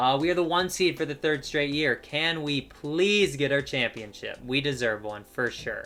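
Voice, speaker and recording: A man speaks in an ordinary speaking voice with a fairly high pitch. His pace is moderate, his pitch variation ordinary, and he hardly pauses. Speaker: gaming YouTuber. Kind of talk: gameplay commentary.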